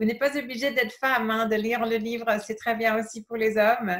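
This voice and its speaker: The recording is very clean, with a silent background. A woman with a fairly high voice speaks in fairly even intonation. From England. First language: English (speaking French). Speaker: yoga teacher. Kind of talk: casual interview. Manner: halting, many fillers.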